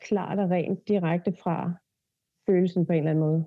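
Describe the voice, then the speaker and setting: A woman talks at a moderate pace in a fairly low, flat monotone. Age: 30s. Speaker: body therapist and hypnotherapist. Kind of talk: casual chat.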